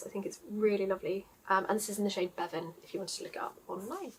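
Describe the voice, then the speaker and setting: This woman has a southeast English accent. She talks at a very fast pace. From southeast England, Surrey area. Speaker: knitting podcaster. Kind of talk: casual vlog chat. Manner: frequent filler 'um'.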